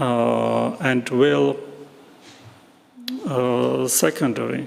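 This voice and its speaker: Over noticeable background noise and audible room echo, a man with a non-native accent speaks at a very slow pace. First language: not English. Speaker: philosophy speaker at academic conference. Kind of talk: conference Q&A discussion. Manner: halting, many hesitations.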